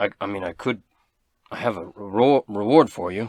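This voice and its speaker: Using a put-on character voice, a man speaks at a moderate pace in a raspy, fairly low voice with ordinary pitch variation and big swings in loudness, on a very clean recording with a silent background. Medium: actual play. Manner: stammering, hesitant.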